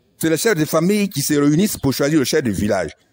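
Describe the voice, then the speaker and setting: Fairly high in pitch, a man talks with lively intonation. Vocal fry runs through his voice. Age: 60s. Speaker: retired civil servant and former village chief. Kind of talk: political appeal.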